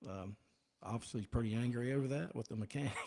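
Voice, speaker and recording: A man's fairly low, dark, mellow voice with fairly even intonation, in a Southern US accent. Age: 60s. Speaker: auto shop owner. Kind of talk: radio call-in.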